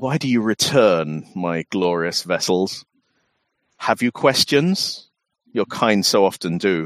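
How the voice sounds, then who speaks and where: Booming and put on as a character voice, this one moves at a fairly slow pace. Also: man. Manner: grandiose, menacing, condescending.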